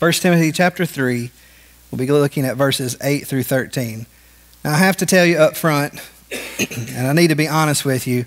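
Fairly brisk male speech with normal pitch movement. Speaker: pastor. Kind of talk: sermon. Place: church. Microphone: podium.

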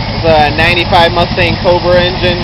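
Loud background noise behind a dry, echo-free voice at a moderate pace. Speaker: car enthusiast. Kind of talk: casual talk to camera. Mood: casual, self-deprecating. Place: street. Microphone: phone near.

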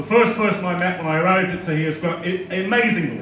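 A man's raised, projected voice with fairly even intonation, audible room echo and light background noise. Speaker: speaker. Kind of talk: speech to an audience. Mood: warm, welcoming. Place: hall.

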